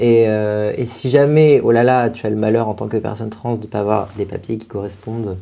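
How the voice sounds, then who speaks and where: Dark and mellow in tone, a man's voice sits at medium pitch with ordinary pitch variation. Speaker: drag performer. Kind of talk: talk show interview. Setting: studio. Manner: hesitant.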